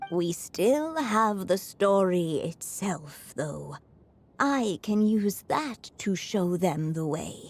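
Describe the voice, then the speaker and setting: A woman's cartoonish character voice at medium pitch, very slow, with very wide pitch swings over music in the background. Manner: thoughtful, gentle.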